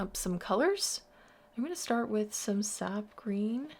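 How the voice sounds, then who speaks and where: Somewhat breathy and fairly high in pitch, a woman's voice shows ordinary pitch variation. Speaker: art tutor. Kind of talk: tutorial. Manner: soft-spoken.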